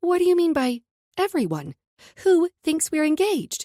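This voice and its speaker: A woman does a put-on character voice that is squeaky and extremely high. She keeps a moderate pace and very even loudness, with a dry, close sound and no echo. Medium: read story. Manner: curt, commanding.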